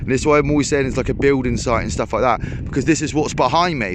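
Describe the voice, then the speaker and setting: Noticeable noise runs in the background. A fairly high-pitched man talks at a very fast pace. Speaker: fishing vlogger. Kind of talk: casual vlog narration. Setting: outdoors. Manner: loud.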